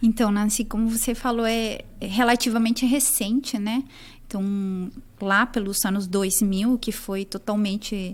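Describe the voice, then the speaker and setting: A woman speaks with a Chilean accent and a fairly high pitch. Her pace is fairly slow and her intonation fairly even. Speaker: nutritionist. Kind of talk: academic interview.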